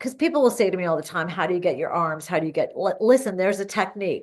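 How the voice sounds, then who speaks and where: A woman's ordinary speaking voice, medium in pitch with lively intonation, over a quiet background. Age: 50s. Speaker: fitness coach. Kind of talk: casual talk to camera. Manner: upbeat.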